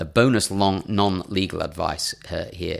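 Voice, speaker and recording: A man with a northern English accent is heard on a very clean recording with a silent background. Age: 40s. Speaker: podcast co-host. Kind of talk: casual chat. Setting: studio.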